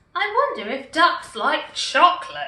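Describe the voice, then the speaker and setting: A woman puts on a character voice at an extremely high pitch, with very wide pitch swings. She goes at a fairly slow pace, and there is a slight echo. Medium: read story.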